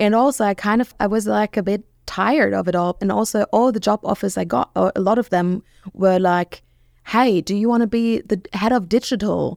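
A woman at medium pitch with a German accent, ordinary pitch variation and very even loudness, dry and close with no echo on a very clean recording over a silent background. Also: moderate pace. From Germany, Rhineland (Bonn). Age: 30s. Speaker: social media marketing strategist. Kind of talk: interview. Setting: studio.

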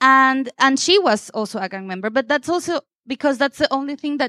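A woman speaks in a high voice with a Spanish accent. The recording is very clean, dry and close, with a silent background and no echo. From Venezuela. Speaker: photographer. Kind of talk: panel talk at photo exhibition.

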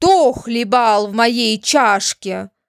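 A bellowing put-on character voice on a very clean recording with a silent background. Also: woman. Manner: roaring, frightening.

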